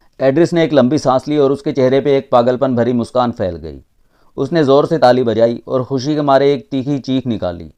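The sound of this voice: In an unforced reading voice, the speaker keeps a fairly even intonation.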